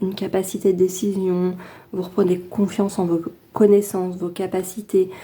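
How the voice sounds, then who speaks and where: Her pitch is medium and her intonation monotone and flat. The woman keeps a moderate pace. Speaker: tarot card reader. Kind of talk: weekly tarot reading to camera. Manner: hesitant, casual.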